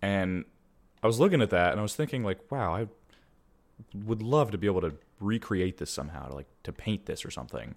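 On a very clean recording with a silent background, a man with a fairly low pitch and vocal fry makes very wide pitch swings at a fairly quick pace, with long, frequent pauses. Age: 20s. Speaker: podcast co-host. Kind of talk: casual chat.

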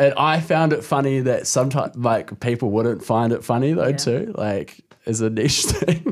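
A man with a New Zealand accent talks with hardly any pauses and very even loudness. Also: medium pitch for a man, ordinary pitch variation, moderate pace. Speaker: comedian. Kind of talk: casual chat. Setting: studio.

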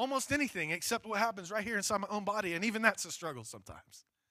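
A man talks at a very fast pace in a raised, projected voice with a high pitch and a bright, sharp tone. The recording is very clean, with a silent background. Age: 40s. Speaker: pastor. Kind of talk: sermon. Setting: church.

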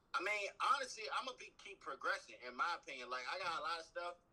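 Speech in an American accent races along at a very fast pace. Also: man. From Maryland. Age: 20s. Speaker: rapper. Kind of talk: casual interview.

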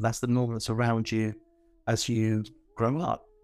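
A man speaks with a London accent. His pitch is fairly low. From northwest London. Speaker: heritage organisation founder and author. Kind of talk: casual interview.

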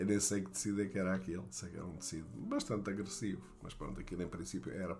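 A man speaks very fast in a very deep, low voice with vocal fry. The room adds an audible echo. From Portugal, Beira Baixa (Fundão). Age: 60s. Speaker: storyteller recounting his childhood. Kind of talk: memoir narration. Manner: halting, many fillers.

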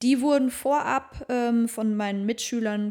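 Dark, mellow tone from a woman, pitch varying in an ordinary way. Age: 30s. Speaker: podcast co-host. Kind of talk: casual chat.

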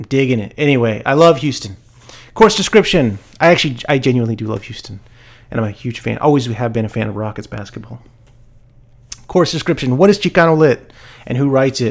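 A man talks at a very fast pace. His medium-pitched voice has lively intonation. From Texas (Austin). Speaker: university professor. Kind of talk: lecture. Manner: casual, halting with many fillers.

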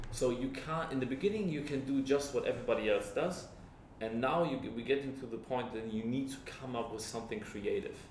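Fairly quick male speech at a medium pitch, ordinary in pitch variation, over noticeable background noise. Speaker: guest, friend giving feedback. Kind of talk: casual chat. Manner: halting, repeats words.

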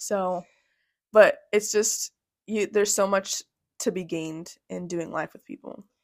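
A woman talks at a fairly slow pace and medium pitch with ordinary pitch variation, big swings in loudness and long, frequent pauses, in a dry, close sound with no echo. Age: 20s. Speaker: nurse. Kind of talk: casual chat.

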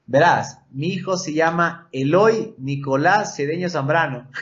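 Fairly high male voice, ordinary pitch variation, audible room echo. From Ecuador, Quito. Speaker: motocross rider. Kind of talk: casual chat. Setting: studio.

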